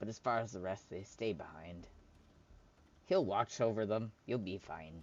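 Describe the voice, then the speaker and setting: In a put-on character voice, a man speaks at a fairly low pitch and moderate pace, with long, frequent pauses. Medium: actual play. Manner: terse.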